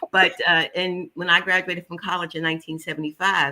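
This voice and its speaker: The speaker has a Philadelphia accent and a bright, sharp tone. The pace is fairly quick. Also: woman. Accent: Philadelphia American English. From US Northeast, West Philadelphia. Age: 70s. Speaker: holistic nutritionist. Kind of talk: interview. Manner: animated.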